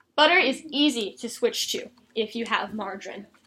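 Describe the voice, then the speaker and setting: A woman speaks in a raised, projected voice. Her pitch variation is ordinary. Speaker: college student. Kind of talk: persuasive speech; classroom Q&A. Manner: animated.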